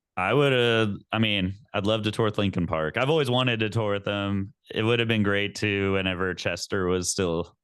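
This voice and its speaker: In an American accent, a man with a normal speaking voice talks at a moderate pace and a fairly low pitch, with ordinary pitch variation and very even loudness. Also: hardly any pauses. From Texas. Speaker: metal band vocalist. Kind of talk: interview.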